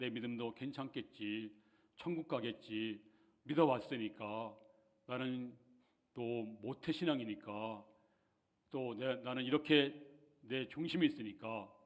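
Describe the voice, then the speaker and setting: A man at medium pitch talks at a very slow pace with long, frequent pauses and ordinary pitch variation. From rural Korea. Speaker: pastor. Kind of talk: sermon. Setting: church. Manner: halting.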